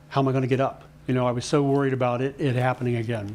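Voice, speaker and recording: Male speech of fairly even intonation amid noticeable background noise. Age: 60s. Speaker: health and wellness speaker. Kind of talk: talk to a live audience.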